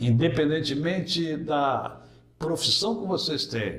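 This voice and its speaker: A man speaks very slowly, with audible room echo and noticeable background noise. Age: 60s. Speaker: pastor. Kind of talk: interview.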